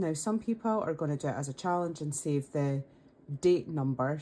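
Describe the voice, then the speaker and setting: Very deep, low female voice with a Scottish accent, a dark, mellow tone and lively intonation. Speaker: budgeting content creator. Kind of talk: casual talk to camera.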